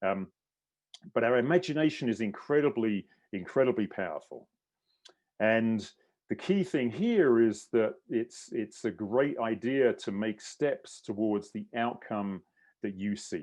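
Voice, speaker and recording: Speaking with a British accent, a man uses a medium pitch and lively intonation. His pace is fairly slow, and the background is quiet. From England. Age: 60s. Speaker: endurance coach and mindset specialist. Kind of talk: online clinic presentation.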